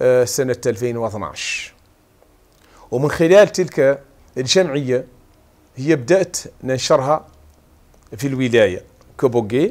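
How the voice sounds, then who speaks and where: A man speaks at a very slow pace, with long, frequent pauses. His intonation is lively. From Mauritania, Hodh El Gharbi (Aioun); Mauritania. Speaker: martial arts federation president and lab technician. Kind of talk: TV interview at home. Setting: at home. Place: home room. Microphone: lapel.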